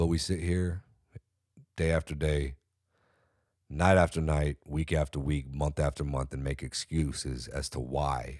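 With an American accent, a man speaks at a fairly slow pace in a very deep, low pitch, pausing long and often, on a very clean recording with a silent background and a dry, close sound with no echo. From California. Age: 30s. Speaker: podcast host. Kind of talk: solo commentary. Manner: animated.

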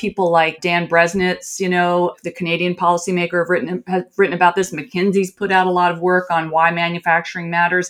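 A woman's fairly low voice in a Midwestern US accent, monotone and flat, at a fairly quick pace with hardly any pauses. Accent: General American, Midwestern. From US Midwest, rural. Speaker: business journalist and author. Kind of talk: interview.

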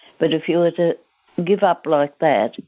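This voice speaks at a moderate pace with an Australian accent. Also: woman. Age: 80s+. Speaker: centenarian grandmother, former teacher. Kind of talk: interview, life story.

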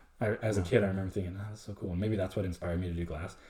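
A man speaks in a very deep, low voice. It is somewhat breathy, with fairly even intonation. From Mexico. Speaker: small business owner. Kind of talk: casual chat.

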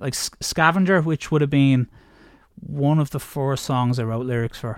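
In an Irish accent, a man speaks at a fairly high pitch on a very clean recording with a silent background. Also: dry, close sound with no echo. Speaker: singer in heavy metal bands. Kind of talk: casual interview chat.

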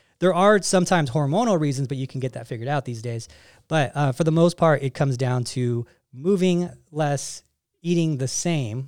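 In a normal speaking voice, a man talks at a fairly quick pace and fairly high pitch with ordinary pitch variation, on a very clean recording with a silent background. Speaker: fitness coach podcast host. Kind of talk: casual chat. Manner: playful, joking.

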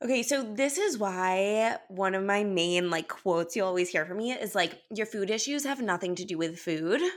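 A woman with a Californian accent talks at a moderate pace, with hardly any pauses. Her pitch is medium and her intonation lively. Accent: Californian American. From Los Angeles, US. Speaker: holistic wellness coach. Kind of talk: casual interview chat.

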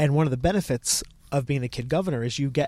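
This man has an unremarkable speaking voice at medium pitch with ordinary pitch variation, talking at a fairly quick pace on a very clean recording with a silent background. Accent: American. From Connecticut. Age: 20s. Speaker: museum educator. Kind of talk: interview.

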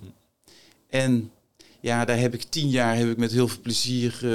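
At a moderate speed, a man talks in a medium pitch. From Netherlands, North Brabant. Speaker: former marine officer, entrepreneur and author. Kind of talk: interview conversation. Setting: studio.

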